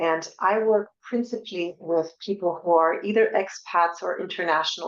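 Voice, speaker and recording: A woman speaks in a French accent. Her pitch is fairly low, with ordinary variation. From France. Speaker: divorce coach. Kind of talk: webinar presentation. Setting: online webinar.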